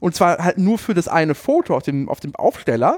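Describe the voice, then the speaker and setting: This man speaks at a fairly quick pace. His pitch is high for a man. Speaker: podcast co-host. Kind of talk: casual chat. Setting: studio.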